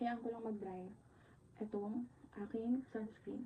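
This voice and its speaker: A woman is speaking. Her pace is fairly quick. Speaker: vlogger, virtual assistant. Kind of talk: casual vlog talk to camera.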